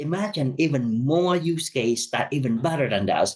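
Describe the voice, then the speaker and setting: With lively intonation and a somewhat breathy voice, a man talks at a medium tempo. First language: not English. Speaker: conference speaker on automotive AI. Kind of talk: conference presentation. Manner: halting, many fillers and restarts.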